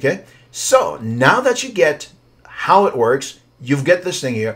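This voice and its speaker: A man's fairly high voice with a non-native accent, very wide pitch swings and a fairly slow pace. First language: not English. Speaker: writing coach. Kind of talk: software tutorial. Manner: casual, hesitant.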